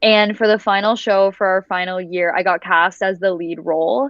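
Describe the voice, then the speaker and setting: In a normal speaking voice, someone talks at a middling speed, the intonation staying fairly even. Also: woman. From Canada, raised in Dubai. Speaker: voice actor. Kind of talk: interview answer.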